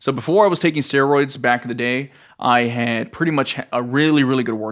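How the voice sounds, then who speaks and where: A plain, everyday voice with an American accent comes through on a very clean recording with a silent background. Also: man. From US South, Rio Grande Valley, Texas. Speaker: fitness coach. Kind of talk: casual vlog monologue. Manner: casual, conversational with filler.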